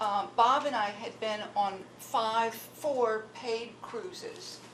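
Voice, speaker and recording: Audible room echo surrounds a woman speaking at a very slow pace. Her pitch is fairly high, with ordinary variation. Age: 60s. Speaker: ship volunteer. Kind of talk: audience remarks. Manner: halting.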